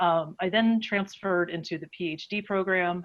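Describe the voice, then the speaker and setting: With an American accent, a woman talks at a fairly quick pace in a fairly low pitch. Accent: Pittsburgh accent, mostly held back. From western Pennsylvania, near Pittsburgh. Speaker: advocacy director and scientist giving a talk. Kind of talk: online presentation. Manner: casual, with frequent fillers.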